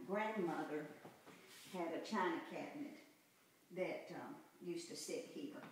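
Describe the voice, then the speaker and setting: A speaker with a Southern US accent is heard in strong room echo. Light background noise is also present. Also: woman. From US South. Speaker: mother giving a home tour. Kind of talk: nostalgic reminiscing house tour, recalling childhood memories. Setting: walking indoors through an old house, poor audio. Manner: halting, full of ums and repeated false starts; warm, fond and wistful. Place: home room. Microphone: camera far.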